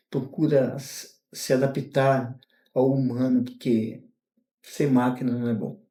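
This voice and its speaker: Very slow and monotone, the man's delivery stays flat. His pitch sits in the medium range. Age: 60s. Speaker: retired mail carrier. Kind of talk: interview. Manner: halting.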